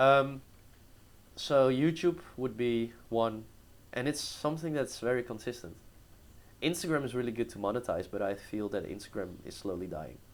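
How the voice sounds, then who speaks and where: A man with a Dutch accent at medium pitch, lively intonation, a moderate pace, and long, frequent pauses. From Netherlands, small town. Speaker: entrepreneur. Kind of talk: interview. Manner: casual, hesitant.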